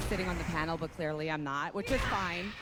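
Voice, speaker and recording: Over noticeable background noise, a woman talks at a moderate pace in a fairly low pitch. Her tone is animated. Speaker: reality show contestant. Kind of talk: stage banter. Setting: stage with audience.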